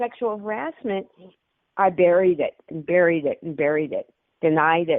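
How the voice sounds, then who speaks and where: Here a woman speaks with a medium pitch and lively intonation. Her pace is moderate. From Portland, Oregon. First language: German. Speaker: comedian and army veteran. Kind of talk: podcast interview.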